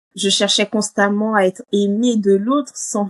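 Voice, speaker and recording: Speaking at a moderate pace in a monotone, flat intonation, a woman is heard with a dry, close sound and no echo. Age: 30s. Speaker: coaching client. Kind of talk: testimony interview. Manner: hesitant, many fillers.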